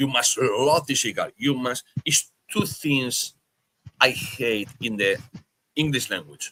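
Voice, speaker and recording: With a Spanish accent and a bright, sharp tone, a man speaks very slowly at a fairly high pitch, taking long, frequent pauses, in a dry, close sound with no echo. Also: ordinary pitch variation. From Spain. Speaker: podcast host. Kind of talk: casual chat.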